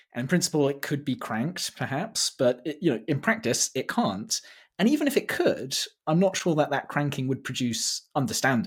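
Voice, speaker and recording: A man with a fairly high, somewhat breathy voice speaks at a moderate pace with very wide pitch swings. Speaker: podcast host. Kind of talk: interview, introduction then conversation.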